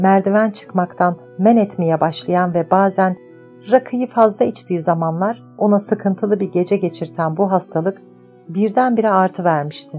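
Music plays behind a woman as she speaks. Her pitch is medium, with ordinary variation. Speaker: audiobook narrator. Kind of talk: audiobook reading of a novel.

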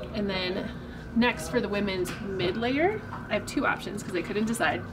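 A woman keeps to a fairly slow pace while noticeable background noise plays behind her. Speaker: presenter. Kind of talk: tutorial. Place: shop.

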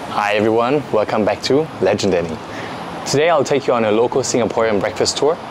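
Over noticeable background noise, a man speaks at a fairly quick pace. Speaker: food travel vlogger. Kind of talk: casual vlog chat. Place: street. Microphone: lapel.

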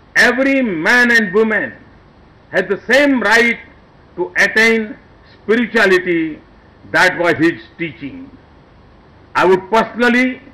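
At a fairly slow pace, the voice is raised and projected, with ordinary pitch variation and long, frequent pauses. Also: man. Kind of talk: formal speech. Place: tent. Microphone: podium.

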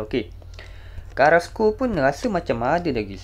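A man speaks in a Malaysian accent. His pace is moderate. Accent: Malaysian Malay. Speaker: gaming YouTuber. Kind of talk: casual gameplay streaming commentary.

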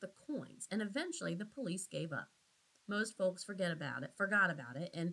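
This is plain reading aloud. The text is read aloud plainly.

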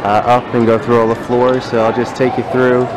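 With noticeable background noise around him, the man's voice comes through dry and without echo. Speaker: vlogger touring museum. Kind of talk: casual vlog chat. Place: hall. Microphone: phone near.

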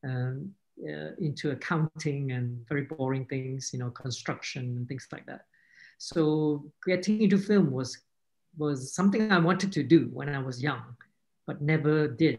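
With a quiet background, the talking proceeds at a moderate pace. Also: man. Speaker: filmmaker; panelist. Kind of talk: panel discussion. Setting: video call. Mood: earnest, reflective. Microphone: video call.

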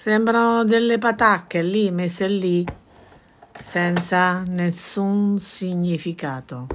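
The voice has ordinary pitch variation, with light background noise behind it. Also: woman. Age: 60s. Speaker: embroidery craftswoman; embroidery teacher. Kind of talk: tutorial. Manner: chatty, informal. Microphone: phone near.

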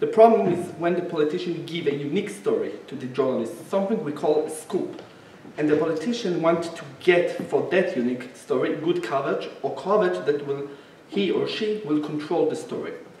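The speech runs at a fairly quick pace with ordinary pitch variation. There is audible room echo and light background noise. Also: man, high pitch for a man. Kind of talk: lecture. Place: hall.

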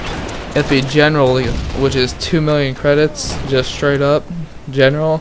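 A man talks at a moderate pace in a fairly high voice. His intonation is monotone and flat, with noticeable background noise. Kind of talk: gameplay commentary.

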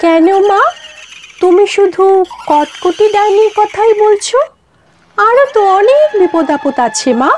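A cartoonish character voice delivers its lines at a fairly slow pace. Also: female-sounding voice, extremely high pitch for a woman.

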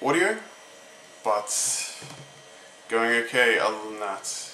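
A man speaks while noticeable background noise is present. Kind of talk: casual talk to camera.

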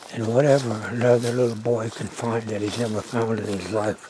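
A man speaks at a moderate pace, the sound dry with no echo, amid noticeable background noise. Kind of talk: casual outdoor narration and chat. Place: forest. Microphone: phone near.

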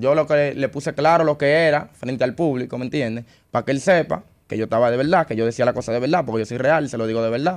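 Against a quiet background, a man with a Dominican accent speaks at a very fast pace with ordinary pitch variation. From Dominican Republic. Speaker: urban music artist; guest. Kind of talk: interview. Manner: calm, patient. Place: studio. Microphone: studio mic.

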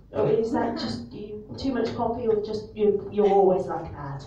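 A woman speaks at a moderate pace and medium pitch, with lively intonation and big swings in loudness, in a room with audible echo and light background noise. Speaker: stand-up comedian. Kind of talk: live stand-up crowd work. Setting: live comedy venue. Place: bar. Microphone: camera far.

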